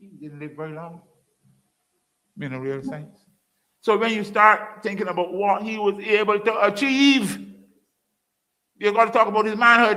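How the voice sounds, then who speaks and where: With a raised, projected voice, a man speaks in an animated, bright, sharp tone at high pitch and a moderate pace, showing ordinary pitch variation, big swings in loudness, and long, frequent pauses. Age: 70s. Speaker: former politician and lecturer. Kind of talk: public lecture.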